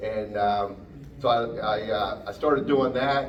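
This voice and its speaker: A man in a Pennsylvania accent, with audible room echo and noticeable background noise. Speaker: automotive technician and parts rep. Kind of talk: technical seminar talk. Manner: hesitant, many fillers.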